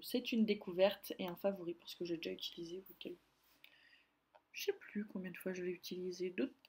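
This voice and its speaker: Her voice is somewhat breathy, with big swings in loudness. The woman shows ordinary pitch variation. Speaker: beauty vlogger. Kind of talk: casual product review vlog. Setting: filming at home by a window. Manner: hesitant, many fillers.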